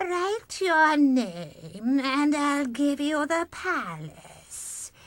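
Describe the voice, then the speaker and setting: In a put-on character voice, someone speaks very slowly at a high pitch. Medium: video game. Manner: mocking.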